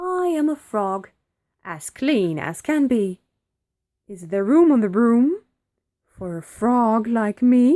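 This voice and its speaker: Putting on a croaky character voice at a fairly high pitch, a woman speaks very slowly with long, frequent pauses. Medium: read story.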